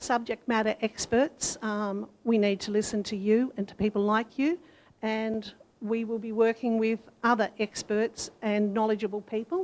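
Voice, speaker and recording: With an Australian accent, this speaker keeps a moderate pace and fairly even intonation. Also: woman, fairly high pitch for a woman. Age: 60s. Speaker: council candidate. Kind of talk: candidate forum answer. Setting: community centre forum with audience.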